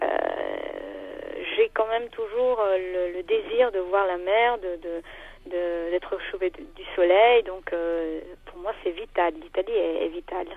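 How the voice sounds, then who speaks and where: At a very slow pace, a woman of medium pitch speaks with ordinary pitch variation, long, frequent pauses and big swings in loudness. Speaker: singer. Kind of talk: radio interview. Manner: hesitant, many fillers.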